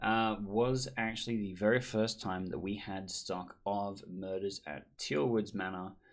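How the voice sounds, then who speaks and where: Speaking in an Australian accent, a man keeps to a fairly low pitch. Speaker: board game designer, vlogger. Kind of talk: casual vlog recap.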